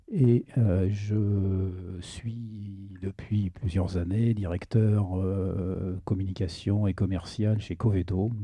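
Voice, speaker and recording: A man speaks at a very slow pace with hardly any pauses, in a fairly low, dark, mellow voice that is somewhat breathy. His intonation is monotone and flat, set against a quiet background. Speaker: conference speaker, veterinarian and sales director. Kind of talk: conference talk. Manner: hesitant, many fillers.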